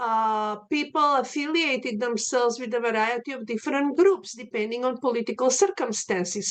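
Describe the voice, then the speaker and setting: A woman with a Slavic accent talks at a moderate pace in a high pitch. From Macedonia. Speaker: art history professor. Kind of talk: lecture. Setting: video call.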